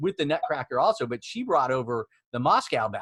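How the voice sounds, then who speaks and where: Dry and close with no echo, a man's voice carries a slight Oklahoma accent and lively intonation. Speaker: immigration law firm CEO, interview host. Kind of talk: casual interview.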